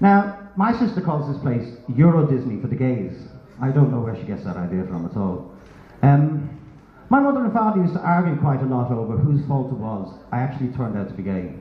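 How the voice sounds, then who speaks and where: A man with an Irish accent talks at a medium pitch and a fairly quick pace, his pitch swinging very widely, with audible room echo. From Ireland. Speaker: stand-up comedian. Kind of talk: stand-up. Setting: stage with audience.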